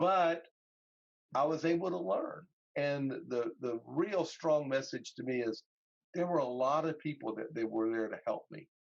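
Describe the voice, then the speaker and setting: Fairly slow and fairly high in pitch, a man speaks with ordinary pitch variation. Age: 60s. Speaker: pastor and parent advocate. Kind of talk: interview. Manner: halting, many restarts.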